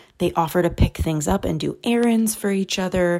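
A soft-spoken woman at medium pitch, with fairly even intonation, on a very clean recording with a silent background. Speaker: podcast host and author. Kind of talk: solo monologue. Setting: home recording.

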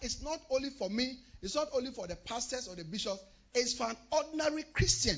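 Over noticeable background noise, a man with an extremely high pitch talks at a fairly quick pace in an animated tone, with lively intonation and big swings in loudness. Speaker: pastor. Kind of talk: sermon. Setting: church.

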